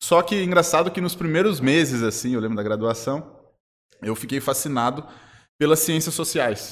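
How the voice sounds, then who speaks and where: A man's normal speaking voice, fairly high, with lively intonation at a moderate pace. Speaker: international relations professor. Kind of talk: interview.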